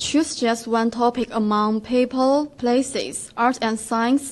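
In a monotone, flat intonation, a woman delivers her words fairly slowly. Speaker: student radio co-host. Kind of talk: casual chat.

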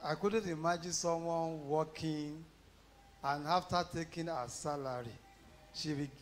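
A man's high-pitched voice at a fairly slow pace, with light background noise. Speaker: pastor introducing guest speaker. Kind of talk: sermon. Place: church.

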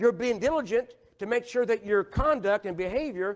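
Against a quiet background, a man with an extremely high pitch talks at a moderate pace. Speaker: pastor. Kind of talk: Sunday sermon, call-and-response preaching with scripture. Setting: church. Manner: emphatic, rhetorical questions to the congregation; driving, repetitive cadence pressing listeners to agree. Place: church. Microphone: lapel.

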